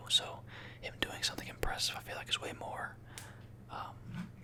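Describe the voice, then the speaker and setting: A man whispers in a relaxed tone at a moderate pace, with noticeable background noise behind him. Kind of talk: ASMR whispered talk to camera about a game tier list. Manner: soft-spoken, whispering, relaxed.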